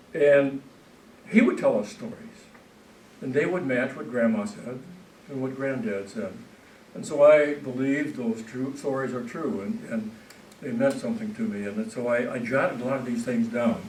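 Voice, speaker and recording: A man speaks with very wide pitch swings and long, frequent pauses. Audible room echo and noticeable background noise fill the recording. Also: medium pitch for a man, moderate pace. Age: 70s. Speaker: author. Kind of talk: public talk. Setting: stage with audience. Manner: halting.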